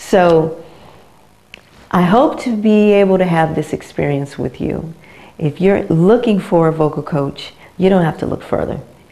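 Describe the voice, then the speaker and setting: A woman with an American accent and a fairly low pitch speaks at a fairly slow pace, taking long, frequent pauses over noticeable background noise. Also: ordinary pitch variation. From United States. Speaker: vocal coach. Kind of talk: promotional talk to camera. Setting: her teaching studio. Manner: casual, conversational.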